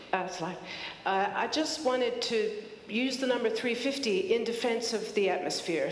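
A woman speaks at a moderate pace. Audible room echo surrounds her voice. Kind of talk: public talk / testimony. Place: hall. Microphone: handheld.

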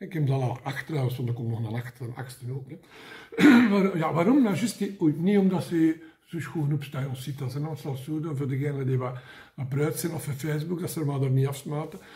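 The man's pitch moves with ordinary variation. He delivers his words at a fairly quick pace. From Mechelen, Belgium. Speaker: comic book vlogger. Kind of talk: casual talk to camera. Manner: humorous, rambling. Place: home room. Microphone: phone near.

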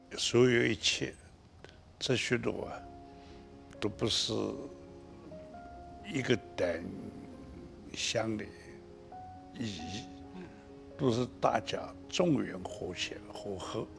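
Against clear music in the background, a man speaks very slowly at a fairly low pitch, with very wide pitch swings and long, frequent pauses. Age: 80s+. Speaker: Buddhist monk. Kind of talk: interview answer. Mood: warm, cheerful. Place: studio. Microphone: lapel.

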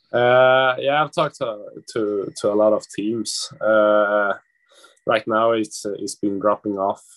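Against a quiet background, a man speaks in a Swedish accent at a very slow pace with fairly even intonation. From Sweden. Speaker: ice hockey draft prospect. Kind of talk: press conference interview. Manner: halting, many fillers. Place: home room. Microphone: video call.

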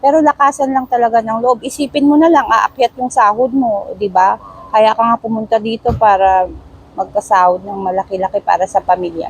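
A woman's fairly high voice at a fairly quick pace with ordinary pitch variation, dry and close with no echo, over noticeable background noise. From Baguio, Philippines. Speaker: driver, former domestic helper. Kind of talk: casual interview. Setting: outdoors under a bridge.

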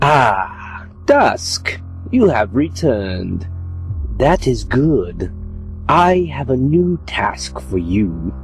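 In a cartoonish character voice, a man talks at a very slow pace with long, frequent pauses and a fairly low pitch, with clear music in the background. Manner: smooth, knowing, sinister.

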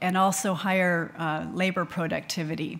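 A woman speaks with an American accent at a medium pitch. She keeps a fairly slow pace. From US. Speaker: small business owner; panelist. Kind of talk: panel discussion. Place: hall. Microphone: podium.

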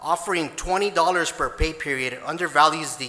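A man talks at a moderate pace, his pitch varying in an ordinary way, with noticeable background noise behind him. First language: Spanish. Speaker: police officer giving public comment. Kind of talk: prepared public comment at council meeting. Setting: city council chamber. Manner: formal, read from prepared text.

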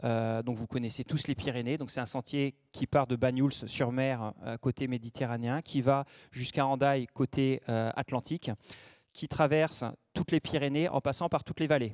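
A man at a moderate pace with fairly even intonation, against a quiet background. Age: 40s. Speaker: ultra-trail runner and mental coach; mental coach. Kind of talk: conference talk. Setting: conference room with audience. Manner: hesitant, many fillers. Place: hall. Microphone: handheld.

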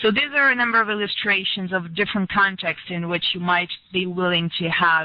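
The sound is dry with no echo as a woman speaks in a fairly low pitch with ordinary pitch variation. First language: French. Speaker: researcher. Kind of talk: lecture. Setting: video call. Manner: halting. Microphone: headset.

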